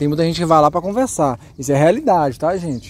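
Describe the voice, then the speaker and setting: The intonation is lively. The sound is dry, with no echo. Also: man. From Minas Gerais, Brazil. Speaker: dog breeder and kennel owner. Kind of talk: casual vlog with dog training. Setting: outdoors. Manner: animated; loud commands to dog. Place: open country. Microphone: phone near.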